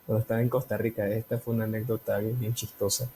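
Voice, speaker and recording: This man has a Nicaraguan accent. His pitch sits fairly low. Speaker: podcast co-host. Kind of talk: casual chat.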